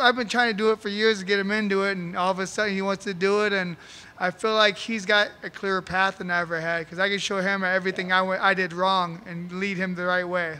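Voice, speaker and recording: Speaking at a very fast pace in a raised, projected voice, a man with a high pitch sounds bright and sharp, his intonation fairly even. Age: 40s. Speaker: MMA fighter. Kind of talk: post-fight press interview. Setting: press conference. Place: hall. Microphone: handheld.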